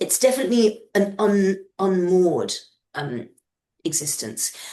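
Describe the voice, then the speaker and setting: In a British accent, the speaker goes at a fairly slow pace with a dark, mellow tone and very wide pitch swings. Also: woman, medium pitch for a woman. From peripatetic childhood (US, Kenya, Madagascar, Yemen, Morocco). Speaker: novelist. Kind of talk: interview. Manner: halting.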